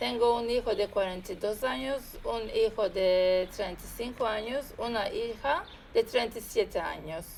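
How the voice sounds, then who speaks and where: Speaking at a fairly slow pace, a woman with a fairly high pitch uses ordinary pitch variation in a normal speaking voice. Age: 50s. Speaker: interviewee. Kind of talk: interview.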